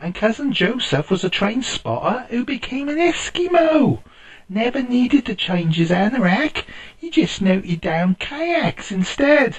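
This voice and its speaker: Someone talks in a put-on character voice at a fairly high pitch and a moderate pace. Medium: read story.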